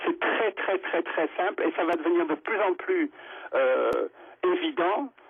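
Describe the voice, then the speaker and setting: A man at a very slow pace, with very even loudness and long, frequent pauses. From Monaco. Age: 50s. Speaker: radio caller. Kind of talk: call-in opinion. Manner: halting, many repetitions.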